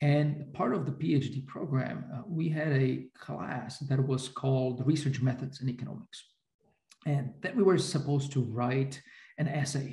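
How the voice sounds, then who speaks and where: This man's voice sits fairly high in pitch, with a dark, mellow tone and some breathiness. His intonation stays fairly even. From Slovakia. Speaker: economics professor. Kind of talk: interview. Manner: hesitant, many fillers.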